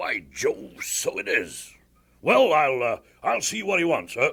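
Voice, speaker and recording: A raspy put-on character voice from a man, delivered at a fairly slow pace. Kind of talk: comic military officer. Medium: audio drama. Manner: blustering, muddled, throat-clearing.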